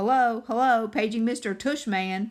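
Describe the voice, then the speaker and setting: A put-on character voice, female-sounding and fairly high, moves at a moderate pace. The recording is very clean with a silent background. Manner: mock-playful.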